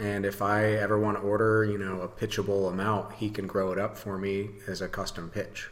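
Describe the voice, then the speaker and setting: Over audible room echo, a man with a fairly low voice talks at a moderate pace with fairly even intonation. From western Michigan. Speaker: brewery owner. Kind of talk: casual chat. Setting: at his brewery.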